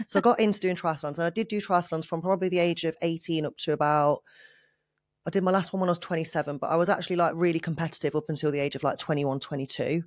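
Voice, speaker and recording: A very fast woman's voice in a British accent, fairly low in pitch, with fairly even intonation. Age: 30s. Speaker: fitness coach and bodybuilding competitor. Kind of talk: interview.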